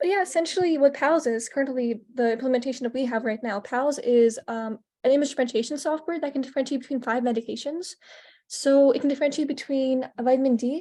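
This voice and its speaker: A woman's high voice in a dark, mellow tone, very fast, with ordinary pitch variation, over a quiet background. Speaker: hackathon participant. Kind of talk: project presentation. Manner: stuttering, halting; casual, many fillers.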